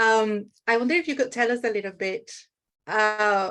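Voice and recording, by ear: Fairly even intonation accompanies a moderate speaking pace. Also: woman.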